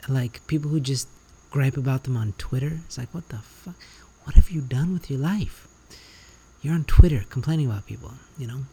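A man talks at a fairly quick pace with long, frequent pauses and big swings in loudness. His voice is fairly high for a man, somewhat breathy and dark and mellow in tone, with ordinary pitch variation. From Canada. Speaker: podcast host. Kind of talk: solo monologue. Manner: animated.

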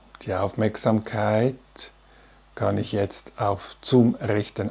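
A calm, soothing, somewhat breathy tone comes through a very clean recording with a silent background. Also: man. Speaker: meditation teacher. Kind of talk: guided meditation. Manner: slow, calm and soothing, with long pauses between instructions.

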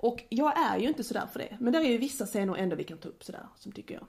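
A woman talks at a very fast pace. Noticeable noise sits in the background. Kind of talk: casual chat. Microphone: small portable recorder with clip-on mic, more room echo.

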